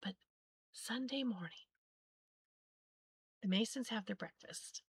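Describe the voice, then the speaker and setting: The voice has vocal fry and moves at a moderate pace. The sound is dry and close, with no echo. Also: woman. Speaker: sewing livestream host. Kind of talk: casual chat. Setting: live stream. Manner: halting.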